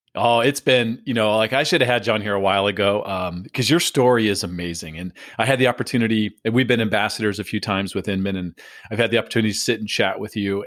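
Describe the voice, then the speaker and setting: A man's fairly low voice at a very fast pace, with ordinary pitch variation, in a very clean recording with a silent background. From San Diego. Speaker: podcast host. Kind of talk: interview.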